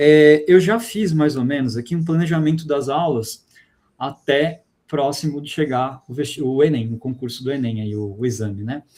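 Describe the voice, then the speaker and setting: Delivered at a moderate pace, the voice has a dark, mellow tone with ordinary pitch variation. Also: man, fairly high pitch for a man. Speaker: physics teacher. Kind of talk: online class lecture.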